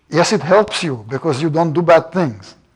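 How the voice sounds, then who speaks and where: Speaking with a Russian accent, a man with a high pitch keeps a moderate pace and ordinary pitch variation. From Russia and Iran. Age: 70s. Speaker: professor. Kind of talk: lecture.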